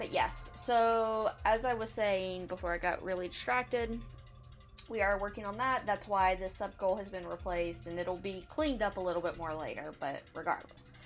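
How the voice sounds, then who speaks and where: Behind the speaker, music plays. She is a woman with a medium pitch. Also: ordinary pitch variation. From US South. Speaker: video game streamer. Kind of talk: casual live-stream chat.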